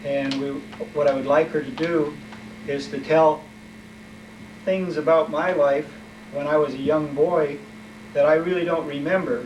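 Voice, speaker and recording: With noticeable background noise and audible room echo, a man speaks with long, frequent pauses. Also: fairly high pitch for a man, ordinary pitch variation, moderate pace. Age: 60s. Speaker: family history interviewer. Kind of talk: family oral history interview. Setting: mother's apartment. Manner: halting, with fillers.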